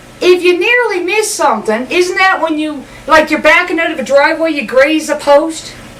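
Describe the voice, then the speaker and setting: Someone in a Newfoundland accent speaks at a moderate pace with lively intonation. Noticeable background noise and audible room echo fill the recording. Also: woman. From Newfoundland, Canada. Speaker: comedian. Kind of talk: comedic monologue.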